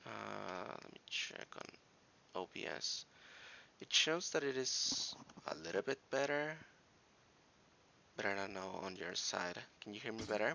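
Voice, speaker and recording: Soft-spoken and fairly slow, a man with a fairly low voice makes very wide pitch swings and takes long, frequent pauses. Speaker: gaming streamer. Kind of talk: live game streaming commentary. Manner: quiet, soft-spoken; halting, many fillers. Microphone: too quiet, viewers can't hear well.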